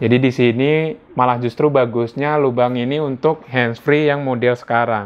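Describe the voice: A man with a medium pitch speaks at a moderate pace, his intonation fairly even.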